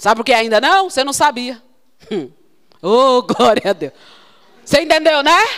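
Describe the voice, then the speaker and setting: Over noticeable background noise, a raised, projected voice with an animated tone swings very widely in pitch. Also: woman. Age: 40s. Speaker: consecrated religious sister preaching. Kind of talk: sermon.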